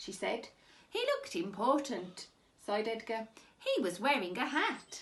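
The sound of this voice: Unforced reading voice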